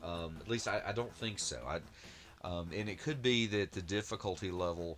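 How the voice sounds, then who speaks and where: A man mumbles in a very deep, low pitch. His pace is moderate, with ordinary pitch variation. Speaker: retro gaming YouTuber. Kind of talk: gameplay commentary. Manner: mumbling; halting, many fillers.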